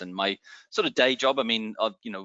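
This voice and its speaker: A man speaks in a fairly low pitch. He has an Australian accent. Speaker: wine educator, former sommelier. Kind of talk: educational interview.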